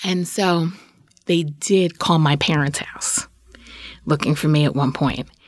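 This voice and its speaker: A woman's very deep, low voice with an American accent, fairly even intonation, a fairly slow pace and long, frequent pauses. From New York, Queens. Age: 40s. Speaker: storyteller. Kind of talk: personal story interview.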